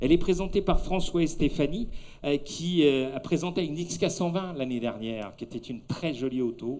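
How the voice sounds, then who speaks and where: Talking fairly slowly, this man has a dark, mellow tone. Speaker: event presenter, car show commentator. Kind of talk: live commentary. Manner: animated; speaking softly for the baby.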